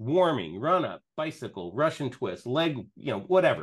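A man with vocal fry and very wide pitch swings at a moderate pace. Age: 60s. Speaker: tech specialist. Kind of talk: casual chat with screen demo. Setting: video call.

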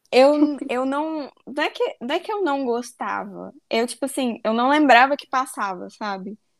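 With hardly any pauses, a woman speaks fairly slowly in a high voice with lively intonation. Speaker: architect. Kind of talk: casual chat.

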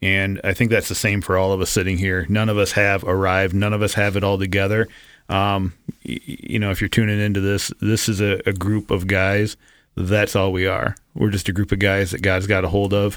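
Fairly quick and fairly low in pitch, a man talks in a monotone, flat intonation. The recording is very clean, with a silent background. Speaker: church staff member and guest co-host. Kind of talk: casual chat. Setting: studio.

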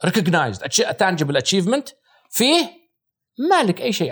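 A man speaks at a fairly quick pace in a high voice, his pitch swinging very widely. The recording is very clean, with a silent background. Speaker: marketing executive and former radio host. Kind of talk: casual chat.

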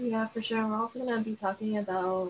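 Background noise is clearly audible here. Through it comes a woman's voice. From Miami. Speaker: student podcast host. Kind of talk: casual chat.

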